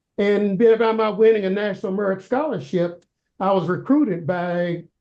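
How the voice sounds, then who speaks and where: The speaker has a Kentucky accent and talks at a moderate pace. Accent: US South, Kentucky. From Louisville, Kentucky. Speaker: school board candidate, retired college professor. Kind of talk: interview. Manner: hesitant, many fillers.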